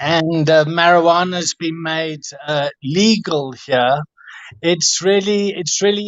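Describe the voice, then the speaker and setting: A man's fairly high voice at a very slow pace, with fairly even intonation. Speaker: rehab center director. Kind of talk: live-stream Q&A. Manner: shaky voice.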